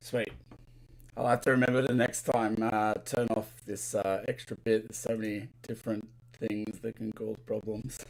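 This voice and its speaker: A man talks at medium pitch in a monotone, flat intonation. His pace is fairly slow, with long, frequent pauses. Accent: Australian. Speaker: LEGO builder and live streamer. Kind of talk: live stream chat while building. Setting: live stream from home studio.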